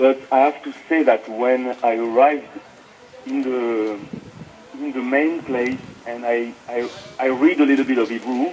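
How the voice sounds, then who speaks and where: Speaking in a French accent at a fairly slow pace, a man keeps his intonation fairly even and leaves long, frequent pauses amid noticeable background noise. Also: medium pitch for a man. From France. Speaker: interview guest. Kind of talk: personal testimony. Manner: halting, many fillers.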